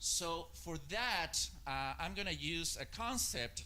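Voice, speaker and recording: A man's voice with audible room echo. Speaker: marketing strategist. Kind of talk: conference talk. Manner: hesitant, many filler uhs.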